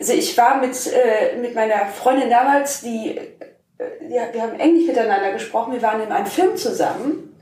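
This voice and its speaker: Lively intonation with audible room echo. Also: woman, high pitch for a woman, moderate pace. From Germany, Rhineland-Palatinate, small village. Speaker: podcast co-host. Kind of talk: casual chat.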